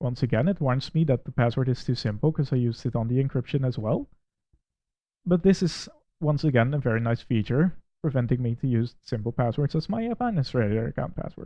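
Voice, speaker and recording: With a Dutch accent, a man speaks fairly quickly at a medium pitch and ordinary pitch variation. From Netherlands. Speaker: Windows administrator and tech reviewer. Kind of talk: software review with screen walkthrough.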